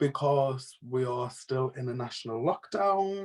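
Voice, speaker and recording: At a fairly slow pace, a man with a British accent speaks with ordinary pitch variation. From northeast England, Sunderland/Durham area. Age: 20s. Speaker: podcast co-host. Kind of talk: casual chat.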